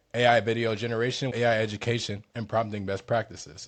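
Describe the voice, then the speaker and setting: A man's fairly low-pitched, fairly quick speech against a quiet background. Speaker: tech tutorial YouTuber. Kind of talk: tutorial. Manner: fast; casual, slangy.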